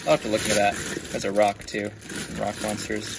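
The speech moves fairly quickly, with noticeable background noise present. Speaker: toy reseller. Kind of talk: casual haul commentary.

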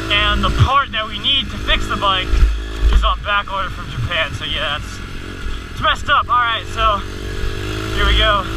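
Long, frequent pauses break up speech at a moderate pace. The sound is dry with no echo, and background noise is noticeable. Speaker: dirt bike rider vlogger. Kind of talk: casual vlog chat. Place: motorbike. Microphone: helmet.

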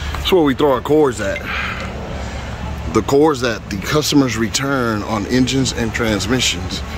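Noticeable background noise sits behind a man speaking with ordinary pitch variation, in a dry sound with no echo. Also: moderate pace. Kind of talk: casual tour commentary. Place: street. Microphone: phone near.

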